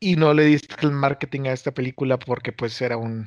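Speaking in a Mexican accent, a man talks at a fairly quick pace in a fairly high pitch. The sound is dry and close with no echo, over a quiet background. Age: 30s. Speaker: podcast co-host, audio editor. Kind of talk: casual chat.

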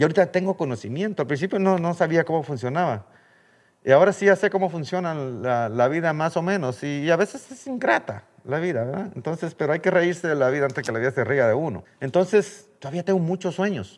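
Speaking at a fairly quick pace in a Guatemalan accent, a man uses lively intonation and a fairly high pitch. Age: 60s. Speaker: birdwatching guide and children's charity founder. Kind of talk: interview.

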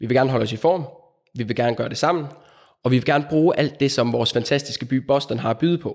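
On a very clean recording with a silent background, a man talks very fast in a medium pitch with ordinary pitch variation. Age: 30s. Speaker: physiotherapist. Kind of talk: interview.

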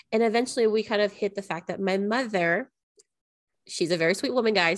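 A woman with a normal speaking voice talks at a fairly quick pace, her medium pitch varying in an ordinary way. The background is quiet. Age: 30s. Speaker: life coach podcast co-host. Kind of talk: casual chat.

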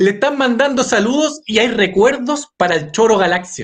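Extremely high-pitched male voice with lively intonation. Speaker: web show host. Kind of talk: casual interview chat.

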